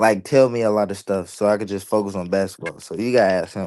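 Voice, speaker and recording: At a moderate pace, a man with a dark, mellow tone and fairly low pitch speaks with fairly even intonation. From Louisville, Kentucky. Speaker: college basketball player. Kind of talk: casual interview.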